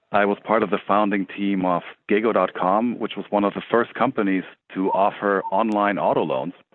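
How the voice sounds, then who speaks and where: A fairly low-voiced man with a German accent, moderate in pace and fairly even in intonation. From Germany. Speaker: tech startup CEO. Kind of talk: interview.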